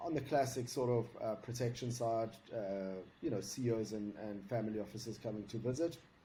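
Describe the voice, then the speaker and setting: In a South African accent, a somewhat breathy, dark and mellow voice moves at a fairly quick pace with fairly even intonation amid audible room echo. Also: man. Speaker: security consultant. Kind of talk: interview.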